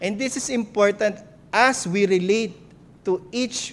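Pitch varies in an ordinary way as the words come out very slowly. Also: man. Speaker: pastor. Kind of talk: sermon.

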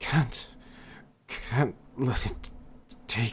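Soft-spoken and mumbling, the speaker uses a put-on character voice. The pitch sits low to middle. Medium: actual play. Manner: mumbling, murmuring to himself.

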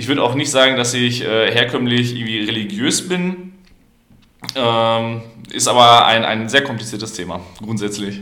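Audible room echo surrounds a man with a bright, sharp tone. He keeps a medium pitch, a moderate pace and ordinary pitch variation. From Germany, Paderborn. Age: 20s. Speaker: student and liberal youth politician. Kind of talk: podcast debate.

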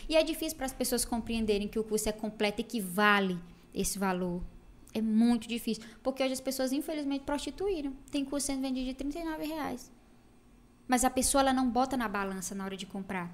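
Lively intonation carries the talk along at a fairly quick pace. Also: woman, high pitch for a woman. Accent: slight Ceará. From Brazil, Ceará (interior, Tauá). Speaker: makeup artist. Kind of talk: casual chat.

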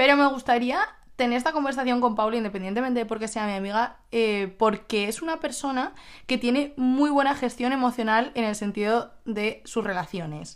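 A woman's high voice, animated in tone, with ordinary pitch variation. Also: moderate pace, very clean recording, silent background. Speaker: podcast host. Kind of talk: casual chat. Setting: recording at home together.

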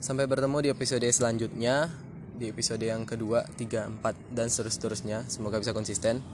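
A man at a very fast pace, medium in pitch, with fairly even intonation. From West Sumatra, Indonesia (Minang). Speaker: podcaster. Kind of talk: casual solo monologue. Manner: unscripted, halting with fillers.

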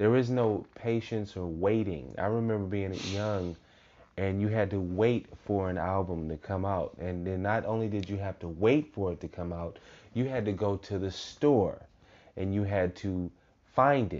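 A man talks in a plain, everyday voice. His pitch is fairly low and varies in an ordinary way. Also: fairly slow pace. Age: 30s. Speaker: podcast host. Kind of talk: casual chat.

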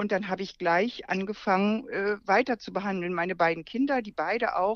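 Over a quiet background, a woman with an unremarkable speaking voice talks at a fairly quick pace, her pitch in the medium range. Her pitch varies normally, and the sound is dry and close with no echo. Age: 60s. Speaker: naturopath and healing-method teacher. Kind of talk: interview.

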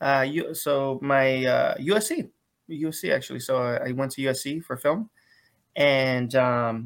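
Using ordinary pitch variation, a man with a medium pitch speaks with an American accent. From US West Coast, San Diego, California. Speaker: filmmaker. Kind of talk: interview. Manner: halting, many fillers and restarts.

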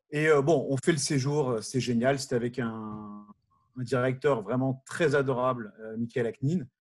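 Against a quiet background, a man with a medium-pitched, somewhat breathy voice speaks with ordinary pitch variation. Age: 40s. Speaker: former summer camp counselor. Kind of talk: casual chat.

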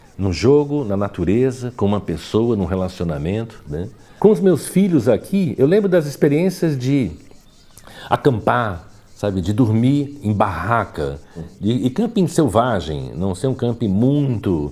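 A man's medium-pitched voice, dark and mellow in tone, with very wide pitch swings at a fairly slow pace. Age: 60s. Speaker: architect and educator. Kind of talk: interview. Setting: at home.

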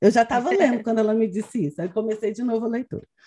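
This woman has a fairly high pitch and sounds somewhat breathy. The sound is dry and close with no echo. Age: 30s. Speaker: podcast host, education researcher. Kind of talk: interview conversation.

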